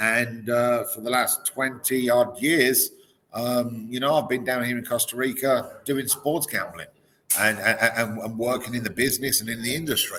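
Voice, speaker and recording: Bright and sharp in tone, this man speaks with an English accent. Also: medium pitch for a man, fairly even intonation, moderate pace. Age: 40s. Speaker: sports betting professional. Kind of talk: casual chat. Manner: halting, many repeated words.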